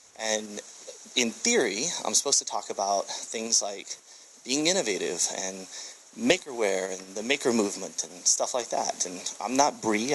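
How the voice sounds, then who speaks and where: With an American accent, a man talks at a medium pitch and ordinary pitch variation against noticeable background noise. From USA. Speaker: tech entrepreneur and speaker. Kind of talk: conference presentation. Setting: stage with audience. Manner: fast.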